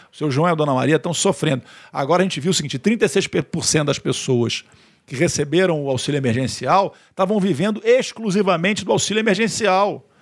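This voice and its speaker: This man speaks at a fairly quick pace with lively intonation. The recording is very clean, with a silent background. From Rio de Janeiro, Brazil. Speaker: politician and government communications secretary. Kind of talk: interview. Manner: halting, repeats words.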